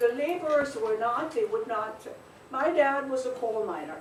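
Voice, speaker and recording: Talking at a fairly slow pace, the speaker is heard through audible room echo and noticeable background noise. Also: woman. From Germany, Essen. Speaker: author. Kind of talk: school presentation.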